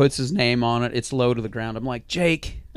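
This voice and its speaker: This man has a plain, everyday voice, a medium pitch and ordinary pitch variation. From Montana. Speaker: rodeo announcer. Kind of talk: casual chat.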